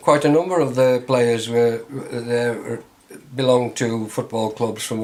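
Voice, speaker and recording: Over noticeable background noise, a man with a medium pitch talks at a fairly slow pace with fairly even intonation. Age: 80s+. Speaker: former soldier and amateur footballer. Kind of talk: interview answer.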